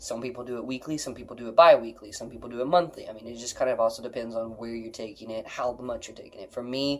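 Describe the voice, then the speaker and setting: Here a man talks at a very fast pace with a medium pitch. His loudness swings widely. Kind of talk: casual chat.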